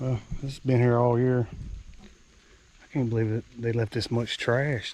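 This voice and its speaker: Monotone and flat, a man speaks in an American accent at a moderate pace. His pitch is medium. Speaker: hunter, outdoor vlogger. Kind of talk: outdoor vlog narration. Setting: outdoors in the woods. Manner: casual, conversational; whispering at times.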